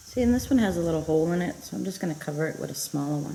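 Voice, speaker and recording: A soft-spoken woman talks with a very deep, low pitch. Noticeable background noise and audible room echo surround her voice. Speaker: home cooking vlogger. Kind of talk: cooking tutorial. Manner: casual.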